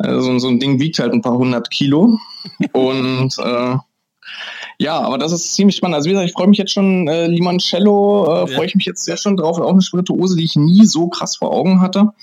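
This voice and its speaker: Fairly quick, lively speech from a man with a high pitch. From Brandenburg, Germany. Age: young. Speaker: master distiller. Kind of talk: interview.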